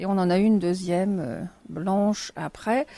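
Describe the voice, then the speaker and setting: A woman's medium-pitched voice with a dark, mellow tone and ordinary pitch variation. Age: 60s. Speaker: retiree interviewee. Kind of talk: interview.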